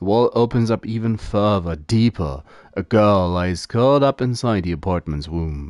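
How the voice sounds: Natural voice for reading aloud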